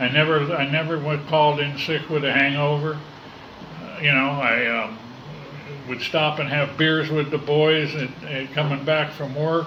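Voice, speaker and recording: Amid noticeable background noise and audible room echo, a man with an American accent speaks at a moderate pace in a fairly high, flat monotone. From US West Coast, Los Angeles. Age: 60s. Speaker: recovering alcoholic AA speaker. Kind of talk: recovery testimony. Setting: in-person meeting room. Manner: halting, many fillers.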